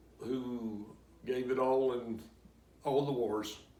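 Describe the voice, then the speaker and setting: A man with an American accent speaks very slowly at a medium pitch in a flat monotone, with audible room echo around him. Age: 70s. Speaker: war veteran. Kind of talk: interview answers. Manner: halting.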